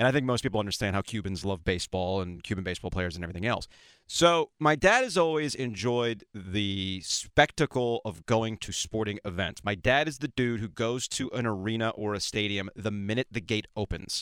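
In a very clean recording with a silent background and a dry, close sound with no echo, a man with an American accent speaks at a fairly low pitch and fairly quick pace, using ordinary pitch variation and hardly any pauses, in an ordinary speaking voice. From South Florida. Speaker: radio host. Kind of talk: casual chat.

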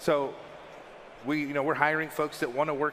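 A man speaks over noticeable background noise. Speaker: game company staffer answering Q&A. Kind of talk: panel Q&A. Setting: panel with audience.

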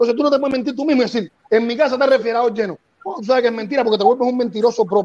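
At a very fast pace, a man with extremely high pitch speaks with ordinary pitch variation. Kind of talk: heated debate.

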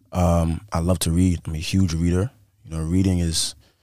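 Heard on a very clean recording with a silent background, the speaker has an American accent, fairly even intonation and a moderate pace. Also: man. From Brooklyn, New York. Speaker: rapper. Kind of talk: casual chat.

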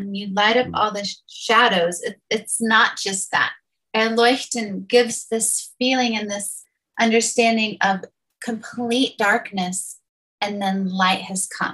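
At a very slow pace, a woman speaks in a bright, sharp, fairly high voice with fairly even intonation. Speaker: church planter. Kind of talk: casual discussion of song lyrics.

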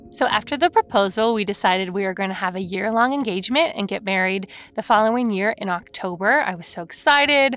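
With a Californian accent, a woman talks at a very fast pace with hardly any pauses, her medium pitch carried by lively intonation. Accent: Californian American. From California, Lake Forest. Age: 30s. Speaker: actor and comedian. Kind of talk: casual storytelling.

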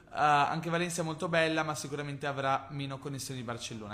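A man talking at a very fast pace. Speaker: podcast host, marketing entrepreneur. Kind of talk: casual solo podcast with Q&A. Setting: recording from Bali, Indonesia. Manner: conversational, enthusiastic.

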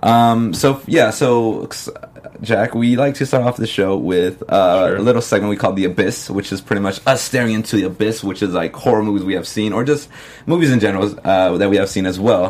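A man with a fairly low pitch and ordinary pitch variation talks fairly quickly against noticeable background noise. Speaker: podcast host. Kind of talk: casual chat.

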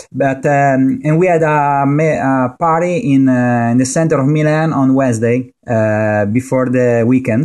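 A man talks at a fairly slow pace. His intonation stays fairly even. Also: medium pitch for a man, hardly any pauses. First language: Italian. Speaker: motorsport journalist. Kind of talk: casual chat. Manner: halting, many fillers.

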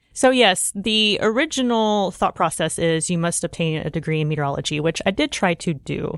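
Over a quiet background, a woman with an American accent talks at a fairly quick pace in a plain, everyday voice, fairly low-pitched, with lively intonation and hardly any pauses. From Oklahoma. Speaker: storm chaser. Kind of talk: interview. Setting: studio.

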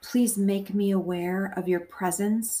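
A woman speaks very slowly in a soothing, calm, somewhat breathy voice of medium pitch, with a dark, mellow tone and fairly even intonation. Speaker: podcast host. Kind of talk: guided meditation, prayer. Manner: slow, calm, gentle; soft-spoken, soothing, with long pauses.

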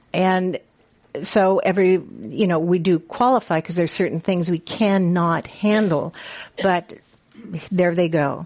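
A woman speaks at a medium pitch with ordinary pitch variation. Her pace is fairly slow, with long, frequent pauses. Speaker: retirement community marketing director. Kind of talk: panel talk. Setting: stage with audience.

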